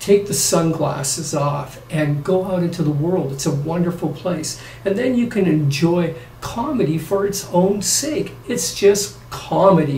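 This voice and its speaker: A man with a high voice speaks at a fairly slow pace with ordinary pitch variation. Audible room echo and light background noise surround him. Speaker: vlogger. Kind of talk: casual vlog chat. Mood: opinionated then relaxed. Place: home room. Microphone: camera far.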